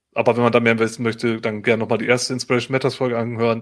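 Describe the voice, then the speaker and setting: On a very clean recording with a silent background, a man at medium pitch talks very fast in a monotone, flat intonation. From northern Germany, Otterndorf on the North Sea. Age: 40s. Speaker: podcast host. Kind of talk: casual chat.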